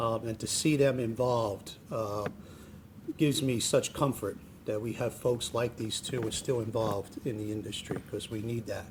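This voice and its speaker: Speaking at a moderate pace with fairly even intonation, this voice has a northern New Jersey accent over noticeable background noise. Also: man, medium pitch for a man. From New Jersey, Jersey City. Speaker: state transportation official. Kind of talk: public speech. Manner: hesitant, many fillers and restarts.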